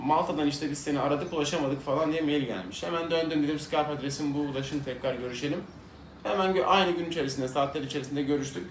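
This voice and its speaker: Talking at a very fast pace, a man with a fairly high pitch and ordinary pitch variation is heard over noticeable background noise and audible room echo. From Turkey (İzmir). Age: 30s. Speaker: vlogger. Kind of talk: casual chat. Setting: at home. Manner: conversational.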